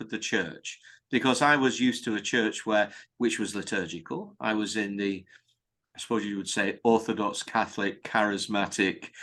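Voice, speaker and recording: In a quiet background, a man with a British accent speaks at a moderate pace. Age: 70s. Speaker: priest. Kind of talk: interview. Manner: hesitant fillers.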